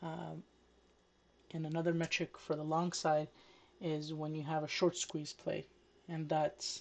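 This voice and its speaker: The speaker mumbles at a fairly slow pace, with long, frequent pauses. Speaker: day trader. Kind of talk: tutorial. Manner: mumbling.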